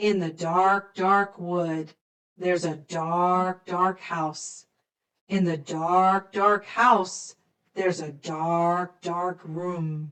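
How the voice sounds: A woman's put-on character voice, fairly low in pitch, delivered at a very slow pace.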